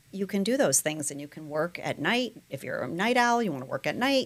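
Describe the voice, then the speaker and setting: In an ordinary speaking voice, a woman talks at a fairly quick pace with lively intonation on a very clean recording with a silent background. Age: 60s. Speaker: entrepreneur. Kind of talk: interview.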